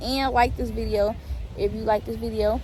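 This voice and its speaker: Noticeable background noise and audible room echo surround a woman speaking at a fairly quick pace. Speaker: vlogger. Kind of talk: casual vlog. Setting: outdoors. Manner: fast.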